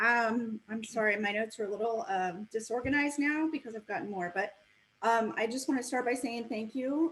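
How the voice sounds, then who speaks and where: A fairly quick woman's voice, fairly high in pitch, an ordinary speaking voice with ordinary pitch variation. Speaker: public commenter at school board meeting. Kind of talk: public comment.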